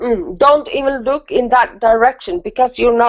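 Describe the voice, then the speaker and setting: A woman with a non-native accent speaks at a moderate pace, her pitch high and her intonation lively. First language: not English. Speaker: spiritual talk show co-host. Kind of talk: casual chat.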